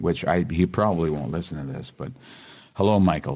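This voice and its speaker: A man speaks with a very deep, low voice. Noticeable background noise runs underneath. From Boston area, Massachusetts. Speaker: actor. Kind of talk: casual interview chat. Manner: animated.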